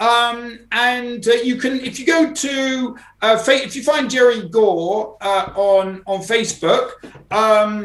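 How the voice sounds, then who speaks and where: This man's pitch is extremely high and his pace very slow. Room echo can be heard. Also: ordinary pitch variation. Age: 60s. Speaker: type 1 diabetic mountaineer. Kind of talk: casual interview. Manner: halting, many repetitions and fillers.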